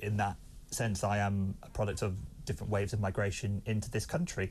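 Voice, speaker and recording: With an English accent and a fairly low pitch, a man speaks somewhat breathily at a fairly quick pace. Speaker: political commentator. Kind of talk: debate. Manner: halting.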